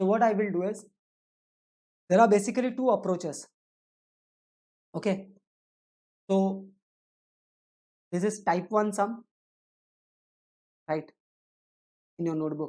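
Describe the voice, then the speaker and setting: In an Indian accent, a woman speaks in a dark, mellow tone at a moderate pace with ordinary pitch variation. She leaves long, frequent pauses. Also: medium pitch for a woman. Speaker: teacher. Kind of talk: lecture. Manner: rhetorical questions, repeating.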